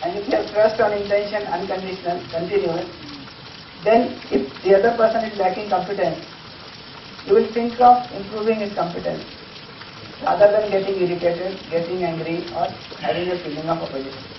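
Amid audible room echo and light background noise, a man with a high pitch speaks at a fairly quick pace with ordinary pitch variation. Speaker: teacher. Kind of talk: lecture. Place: classroom. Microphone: camera far.

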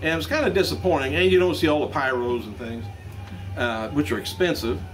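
There is light noise in the background. The voice belongs to a man. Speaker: news vlogger. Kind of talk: news commentary. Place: shop. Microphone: camera far.

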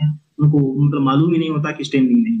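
A man talks at a fairly high pitch in a somewhat breathy voice. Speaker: political YouTuber. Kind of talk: interview about stammering. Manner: calm, unhurried.

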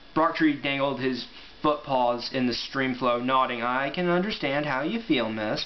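Someone reads the words aloud in a natural voice.

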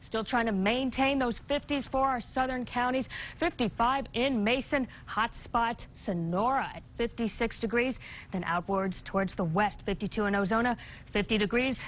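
A woman with a fairly high pitch and an upbeat tone speaks at a fairly slow pace with ordinary pitch variation. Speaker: TV meteorologist. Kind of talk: local TV weather forecast, reading temperatures and wind across counties. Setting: TV studio. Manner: brisk, upbeat delivery listing town-by-town readings; chatty and playful, laughs lightly with desk. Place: studio.

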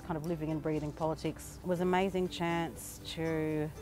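Over clear music in the background, a woman with an Australian accent speaks at a very deep, low pitch in a monotone, flat intonation. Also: dry sound with no echo. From north-east Arnhem Land, Australia. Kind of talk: interview answer. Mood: calm, reflective. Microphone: lapel.

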